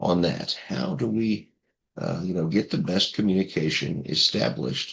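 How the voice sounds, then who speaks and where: A man speaks at a moderate pace with vocal fry. His pitch is very deep and low. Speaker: course instructor. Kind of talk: recorded course introduction. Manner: halting, many fillers.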